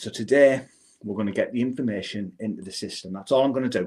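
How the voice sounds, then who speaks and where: A man races along at a very fast pace on a very clean recording with a silent background. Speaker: personal finance app founder and livestream host. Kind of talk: live unscripted software walkthrough. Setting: live stream at desk with camera and screens.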